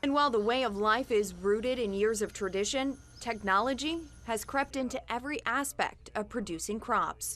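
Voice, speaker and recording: Over background music, a woman with an American accent speaks at a moderate pace, her fairly high pitch varying in an ordinary way. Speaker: television news anchor and reporter. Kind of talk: TV news package voiceover and live anchor read.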